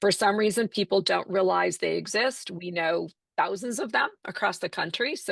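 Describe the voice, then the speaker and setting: A woman's fairly quick speech with vocal fry, dry and close with no echo, against a quiet background. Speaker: Medicare insurance agent. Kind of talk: webinar presentation. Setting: video call webinar. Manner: fast.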